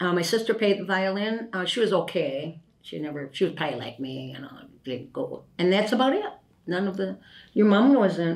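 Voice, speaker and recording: A woman speaks with an Upper Midwest accent. Her loudness swings a lot. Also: medium pitch for a woman, lively intonation, moderate pace. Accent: Upper Midwest American. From La Crosse, Wisconsin. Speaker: retired factory worker. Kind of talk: interview answer. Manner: casual, chatty.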